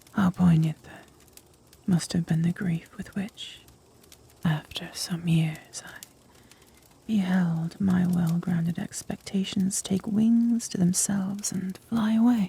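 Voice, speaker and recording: Soft-spoken and whispering at a very slow pace, the speaker leaves long, frequent pauses over noticeable background noise. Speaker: ASMR narrator, reader of gothic literature. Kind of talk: whispered ASMR story reading. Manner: soft-spoken, whispered.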